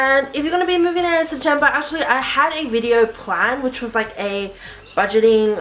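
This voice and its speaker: A high-pitched woman with an Australian accent and lively intonation, against noticeable background noise. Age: 20s. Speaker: YouTuber. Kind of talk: casual Q&A video.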